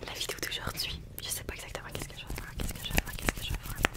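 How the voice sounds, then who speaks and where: A woman is whispering. She is soft-spoken. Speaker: ASMR creator. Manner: soft close-mic ASMR whisper. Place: home room. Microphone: studio mic.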